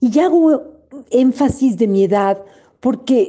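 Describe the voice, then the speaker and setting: A woman talks at a very slow pace in a dark, mellow tone. Her pitch swings very widely. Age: 70s. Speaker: older woman sharing her view. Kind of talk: testimony.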